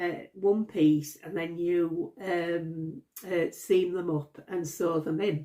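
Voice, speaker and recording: In a Yorkshire accent, a woman speaks very slowly, her fairly low pitch held in fairly even intonation. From Yorkshire, northern England. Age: 60s. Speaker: crochet vlogger. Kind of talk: casual vlog talk. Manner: halting, many fillers and repeats.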